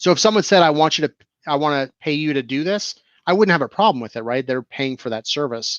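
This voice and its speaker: Against a quiet background, a man with an American accent and a normal speaking voice talks at a fairly high pitch with ordinary pitch variation, in a dry, close recording with no echo. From New Jersey and Florida. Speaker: IT business owner. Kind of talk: casual chat.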